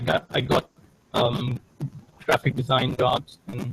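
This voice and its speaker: Vocal fry marks this man's medium-pitched voice as he speaks at a fairly slow pace. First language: not English. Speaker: digital artist. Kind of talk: interview. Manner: halting.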